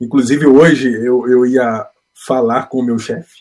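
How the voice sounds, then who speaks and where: A man speaks at a medium pitch. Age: 30s. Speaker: aspiring missionary, engineer. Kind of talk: interview. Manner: halting.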